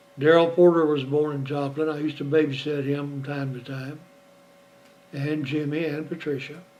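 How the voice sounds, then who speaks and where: Amid audible room echo, a man with a fairly high pitch speaks at a moderate pace in a monotone, flat intonation. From Oklahoma. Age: 70s. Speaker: retiree recording family memoirs. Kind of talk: personal memoir monologue. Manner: conversational, reflective.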